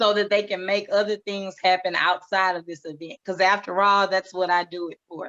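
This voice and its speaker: A woman's bright, sharp voice at medium pitch, with big swings in loudness and a dry, close sound with no echo. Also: moderate pace, hardly any pauses. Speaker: event organizer. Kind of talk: podcast interview. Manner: animated.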